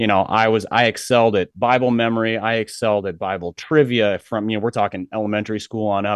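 A man speaks in an unremarkable speaking voice, fairly low in pitch with ordinary pitch variation. The sound is dry and close with no echo, over a quiet background. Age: 40s. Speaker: author and pastor's kid. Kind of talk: interview conversation.

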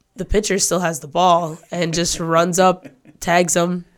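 A woman with an American accent speaks at a very slow pace in a medium pitch. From northern Michigan. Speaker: college student athlete and PA announcer. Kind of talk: casual interview.

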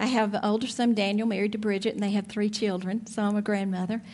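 A woman talks with an Alabama accent at a fairly high pitch. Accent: Southern (Alabama). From Alabama, near Birmingham. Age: 50s. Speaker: church speaker. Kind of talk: sermon.

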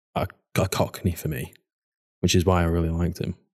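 A man with a Mancunian accent and a dark, mellow tone, at a moderate pace, on a very clean recording with a silent background. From Manchester, northern England. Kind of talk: casual chat.

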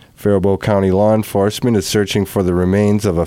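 Speaking very fast with an American accent, a man uses a very deep, low pitch, a dark, mellow tone and a monotone, flat intonation. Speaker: radio newscaster. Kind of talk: formal local radio news bulletin, read from script. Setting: studio. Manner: measured, even-paced and neutral, reading items one after another; precise and careful with dates, figures and attributions.

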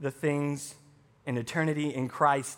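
Bright and sharp in tone, a man's voice comes through with an American accent. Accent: Southern US (Arkansas), somewhat toned down. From Arkansas, US South. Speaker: pastor. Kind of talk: sermon.

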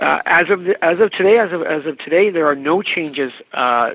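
An unremarkable speaking voice with lively intonation moves at a moderate pace in a Canadian accent. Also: man. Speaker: member of parliament. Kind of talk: radio interview. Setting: radio studio interview.

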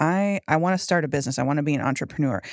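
A woman speaks at a very deep, low pitch with lively intonation. The sound is dry and close with no echo, on a very clean recording with a silent background. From Texas, Fort Worth. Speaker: marketing colleague acting as guest host. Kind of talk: casual interview chat. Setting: studio.

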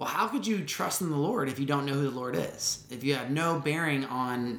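Over noticeable background noise, the speech moves at a fairly quick pace with lively intonation. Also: man. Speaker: faith podcast host. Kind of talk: casual devotional talk. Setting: solo podcast recording. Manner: casual, chatty.

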